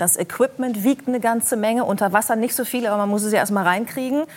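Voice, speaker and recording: Her pitch sitting fairly high, the woman rattles off her words very fast. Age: 40s. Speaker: talk show host. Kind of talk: talk show interview.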